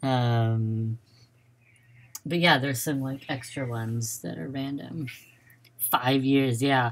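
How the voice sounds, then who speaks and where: Long, frequent pauses interrupt a very slow delivery. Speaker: gaming streamer. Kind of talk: casual live stream commentary. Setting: home live stream with headphones. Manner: loud at times.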